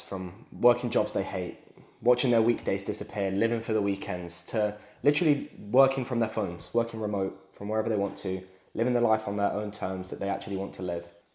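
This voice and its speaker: A man with a British accent talks at a fairly quick pace. His fairly low voice shows ordinary pitch variation. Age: 20s. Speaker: sales coach. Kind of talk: motivational talk to camera.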